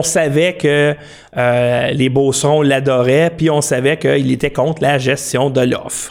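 Speaking at a fairly slow pace, a man with a Quebec accent has a fairly high pitch. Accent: Québécois French. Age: 40s. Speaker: political commentary livestreamer. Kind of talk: political commentary monologue. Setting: home studio, live stream.

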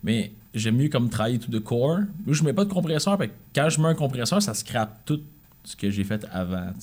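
With a Quebec accent, a man of medium pitch talks at a fairly quick pace, somewhat breathy and with very wide pitch swings. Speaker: musician. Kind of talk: casual chat.

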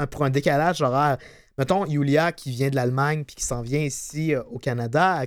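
An energetic man with a fairly high pitch, a moderate pace, and a very clean recording over a silent background. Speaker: podcast co-host. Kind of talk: informative segment; casual chat.

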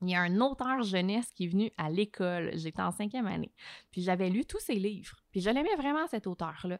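A woman at a medium pitch and moderate pace, lively intonation, in a dry, close sound with no echo. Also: very clean recording, silent background. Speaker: journalist and TV host. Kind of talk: podcast interview. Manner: animated.

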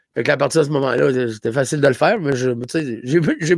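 Speaking at a fairly quick pace with a Gaspésie accent, a man uses ordinary pitch variation. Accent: Gaspésie accent, noticeable. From Gaspésie, Quebec. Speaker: comedian. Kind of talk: casual chat.

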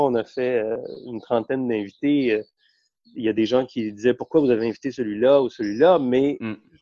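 A man's unremarkable speaking voice at medium pitch and a moderate pace. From Quebec (Montreal, Hochelaga-Maisonneuve, and Eastern Townships). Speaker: economics journalist. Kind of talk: casual interview.

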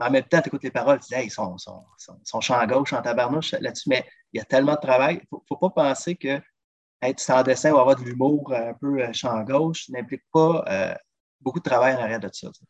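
A man with a normal speaking voice talks at a fairly quick pace and medium pitch, showing ordinary pitch variation and big swings in loudness. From Quebec, South Shore of Montreal. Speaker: drummer and travel agent. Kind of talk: casual interview.

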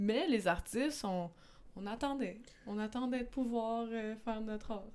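The speaker is a woman with a Quebec accent. Her pitch varies in an ordinary way. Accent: Québécois French. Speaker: podcast host. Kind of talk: casual chat.

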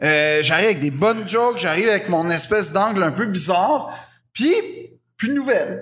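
Speech comes at a moderate pace, broken by long, frequent pauses. The intonation is lively, the loudness very even, and room echo is audible. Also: man, high pitch for a man. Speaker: comedian. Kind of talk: casual chat. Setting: stage with audience.

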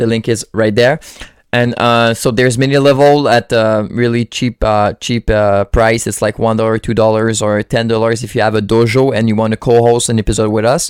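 With a Quebec French accent, a man talks at a moderate pace and medium pitch, keeping a fairly even intonation. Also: hardly any pauses. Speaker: podcast host. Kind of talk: casual chat.

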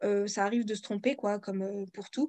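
This woman has an unremarkable speaking voice, fairly high in pitch with fairly even intonation, recorded with a dry, close sound and no echo. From France. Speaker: independent author and audiobook narrator. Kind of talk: interview.

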